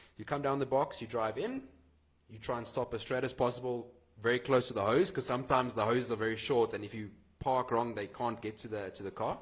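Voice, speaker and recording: At a very fast pace, a man at medium pitch talks with fairly even intonation and a somewhat breathy sound. His loudness swings widely. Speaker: racing driver. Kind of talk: interview.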